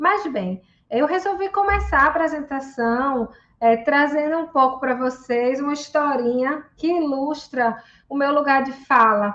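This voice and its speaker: A woman's high-pitched voice in a Recife accent, at a fairly slow pace. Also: ordinary pitch variation. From Brazil, Recife, Pernambuco. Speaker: psychologist and researcher. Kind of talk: reading aloud; conference talk. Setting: video call from her office.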